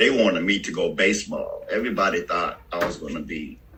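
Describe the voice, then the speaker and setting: A man speaking at a moderate pace. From Richmond, California (US West Coast). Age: 60s. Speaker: bass player. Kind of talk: casual interview.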